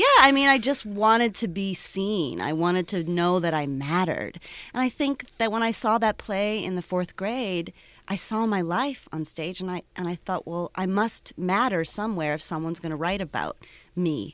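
An ordinary speaking voice: a woman with an American accent, medium pitch, lively intonation and moderate pace, on a very clean recording with a silent background. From Cleveland, Ohio. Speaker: theater co-founder and director. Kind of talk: casual interview.

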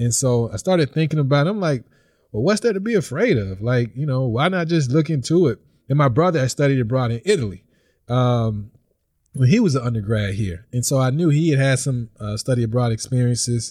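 This man speaks with a Mississippi accent at a medium pitch and a fairly quick pace. His somewhat breathy voice has lively intonation, and the recording is very clean with a silent background. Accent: US Southern (Mississippi). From Mississippi (Vicksburg). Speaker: visiting professor and PhD candidate. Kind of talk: casual interview.

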